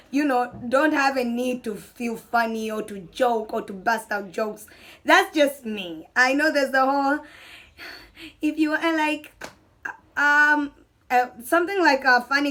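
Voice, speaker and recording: A woman speaks at a moderate pace in a high voice. Her tone is bright and sharp, with lively intonation. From Tanzania. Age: 20s. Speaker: YouTuber. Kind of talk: casual chat. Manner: animated.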